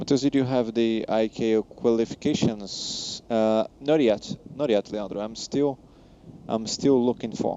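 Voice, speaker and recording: Behind a man's voice there is noticeable background noise. He speaks fairly slowly in a medium pitch, with fairly even intonation. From Brazil. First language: Portuguese. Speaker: flight sim streamer, commercial pilot. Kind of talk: live stream chat reading viewer comments. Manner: halting, frequent self-corrections.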